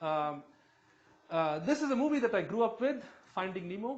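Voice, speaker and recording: A man's extremely high pitch with very wide pitch swings and audible room echo. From southern India. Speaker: chemistry professor. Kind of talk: lecture. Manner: fast; halting, many fillers.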